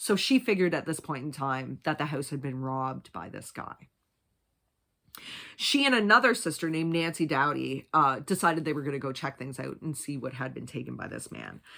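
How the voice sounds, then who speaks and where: A woman's very deep, low-pitched voice with a bright, sharp tone and vocal fry, big swings in loudness, ordinary pitch variation and a fairly quick pace, on a very clean recording with a silent background. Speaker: true crime youtuber. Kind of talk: true crime storytelling. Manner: fast.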